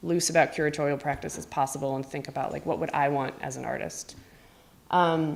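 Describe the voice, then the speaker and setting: A woman speaks fairly quickly at a very deep, low pitch with vocal fry. Her intonation is fairly even, but her loudness swings widely. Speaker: visual artist. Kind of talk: artist talk. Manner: fast; casual, filler-heavy.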